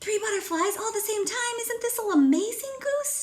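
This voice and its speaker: In a squeaky, put-on character voice, a woman speaks at a moderate pace. Her pitch is extremely high. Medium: read story. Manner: eager, quacking.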